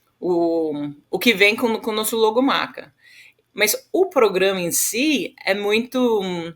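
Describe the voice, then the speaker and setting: Very slowly, a woman with an English accent speaks at a fairly high pitch with lively intonation. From Western Australia. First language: English (speaking Portuguese). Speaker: agricultural leadership organization founder. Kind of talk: podcast interview. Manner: halting, many repetitions and fillers.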